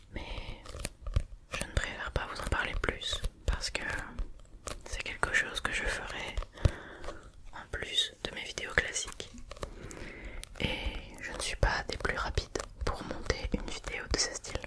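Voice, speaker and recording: Whispering in a gentle tone, a woman speaks at a very slow pace with long, frequent pauses and big swings in loudness over noticeable background noise. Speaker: ASMR creator. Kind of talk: ASMR relaxation talk to camera. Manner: soft, gentle, whispery.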